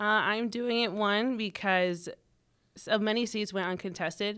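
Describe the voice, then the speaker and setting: In a plain, everyday voice, a woman with an American accent talks at a moderate pace with fairly even intonation, on a very clean recording with a silent background. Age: 20s. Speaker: political candidate. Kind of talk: interview.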